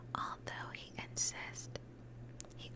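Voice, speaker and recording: A very slow whisper is heard. There is noticeable background noise behind it. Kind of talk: ASMR gaming commentary. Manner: whispered, soft-spoken.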